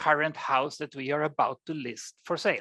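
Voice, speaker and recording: Speaking at a moderate pace with a very deep, low pitch, a woman with a Swedish accent talks over a quiet background. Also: dry, close sound with no echo. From Sweden. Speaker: AI researcher. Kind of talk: lecture.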